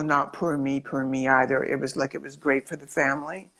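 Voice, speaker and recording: Speaking at a moderate pace with vocal fry, a woman's very deep, low voice comes through on a very clean recording with a silent background. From Scotland. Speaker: performer. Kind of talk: interview.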